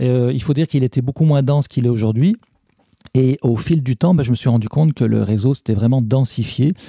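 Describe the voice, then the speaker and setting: The man's medium-pitched voice has a dark, mellow tone, ordinary pitch variation and very even loudness. He moves at a fairly quick pace, and the sound is dry and close with no echo. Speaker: podcast columnist. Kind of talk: casual chat.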